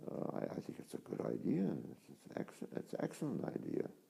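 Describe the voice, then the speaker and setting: This man's voice has a dark, mellow tone with vocal fry. He speaks at a moderate pace. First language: Polish. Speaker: Franciscan friar, priest. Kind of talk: interview. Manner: halting, with frequent repetitions.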